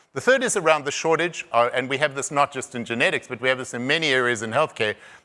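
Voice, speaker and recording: Talking at a very fast pace, a man with a South African accent has a bright, sharp tone. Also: medium pitch for a man, ordinary pitch variation. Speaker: conference speaker on rare disease diagnosis. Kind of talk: conference presentation. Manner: halting, many repetitions and fillers.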